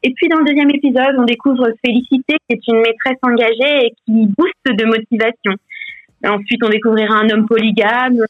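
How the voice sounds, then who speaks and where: Here a woman talks at a fairly quick pace. Her pitch sits fairly high. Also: fairly even intonation. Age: young. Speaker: podcaster. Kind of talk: interview. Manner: hesitant.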